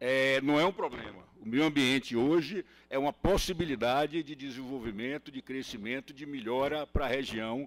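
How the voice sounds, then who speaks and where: Recorded very cleanly over a silent background, dry and close with no echo, a man speaks at a fairly high pitch and moderate pace with ordinary pitch variation. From Bahia, Brazil. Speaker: highway concession executive. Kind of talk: panel talk at a workshop. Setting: workshop with live audience. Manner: hesitant, with frequent fillers and repeats.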